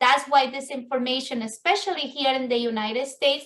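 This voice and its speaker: Raised and projected, a woman's high, bright, sharp voice carries an Ecuadorian accent with fairly even intonation. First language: Spanish. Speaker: business networking event host. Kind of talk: virtual networking meeting talk. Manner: halting, with fillers and restarts.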